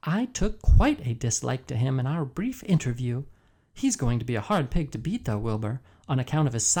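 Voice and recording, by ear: A passage of reading aloud in a natural voice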